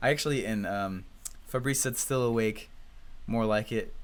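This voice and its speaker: A man with an American accent and medium pitch. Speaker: online marketing coach. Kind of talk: live webinar teaching. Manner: fast; animated.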